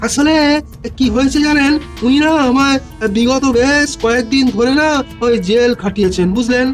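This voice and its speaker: In a cartoonish character voice pitched extremely high, a man talks at a moderate pace with very even loudness while clear music plays in the background. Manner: rambling, filler-heavy, sly.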